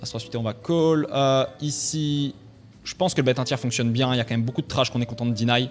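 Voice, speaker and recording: With music in the background, the voice moves at a fairly quick pace with ordinary pitch variation. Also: man. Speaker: poker coach. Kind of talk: gameplay commentary. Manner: fast.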